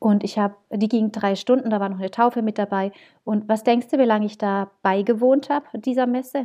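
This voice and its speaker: A woman speaks at a fairly quick pace with a fairly high pitch. Her tone is dark and mellow. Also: quiet background. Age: 30s. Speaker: wedding celebrant, former advertising professional. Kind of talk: casual chat. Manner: animated.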